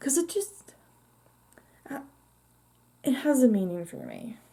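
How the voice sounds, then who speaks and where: A woman's somewhat breathy voice. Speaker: vlogger. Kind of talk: casual chat. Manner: animated; halting.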